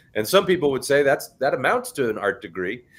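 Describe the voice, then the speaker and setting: A man speaks loudly at a very fast pace with a fairly high pitch, very wide pitch swings and vocal fry. The recording is very clean with a silent background. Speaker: podcast host. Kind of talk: casual chat. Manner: halting.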